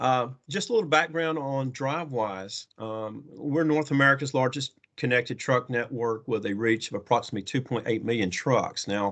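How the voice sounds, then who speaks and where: A medium-pitched man talks with a slight Southern US accent and ordinary pitch variation. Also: moderate pace. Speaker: trucking technology company representative. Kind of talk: conference presentation.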